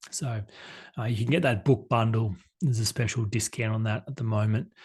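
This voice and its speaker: A man's somewhat breathy voice comes through against a quiet background. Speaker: life coach. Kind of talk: conference talk. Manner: fast.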